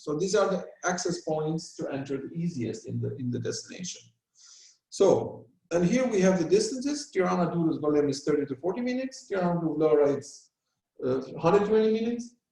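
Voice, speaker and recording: At a fairly quick pace, a man speaks at a high pitch with very wide pitch swings. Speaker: travel company presenter. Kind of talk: business presentation. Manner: fast.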